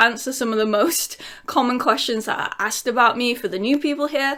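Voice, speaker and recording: At a very fast pace, a woman with a Lincolnshire accent projects a raised, high-pitched voice with ordinary pitch variation. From England, Lincolnshire. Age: 30s. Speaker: YouTuber. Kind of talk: casual Q&A vlog.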